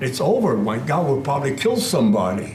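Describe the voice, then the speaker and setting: Male speech with audible room echo and noticeable noise behind it. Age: 90s. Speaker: war veteran. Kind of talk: testimony.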